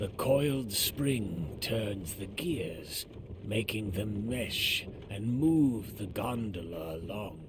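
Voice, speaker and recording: A man uses a put-on character voice at a fairly low pitch and a very slow pace. Background noise is clearly heard. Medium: video game. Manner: calm, gentle, unhurried.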